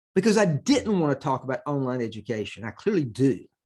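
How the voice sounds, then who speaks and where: Spoken at a fairly quick pace with very wide pitch swings, this is a very clean recording with a silent background. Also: man. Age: 70s. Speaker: accounting professor. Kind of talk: conference presentation. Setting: recorded at home computer for virtual conference.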